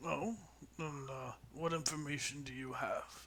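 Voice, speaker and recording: A man puts on a raspy character voice, pitched fairly high, at a fairly slow pace. Background noise is clearly audible. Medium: actual play. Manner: suspicious, questioning.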